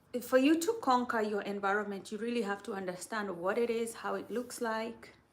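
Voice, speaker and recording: Speaking fairly quickly with an American accent, a woman uses a fairly high pitch with ordinary pitch variation. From Kenya. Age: 30s. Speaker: mental health helper and live streamer. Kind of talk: casual live chat answering viewers. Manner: conversational, repetitive.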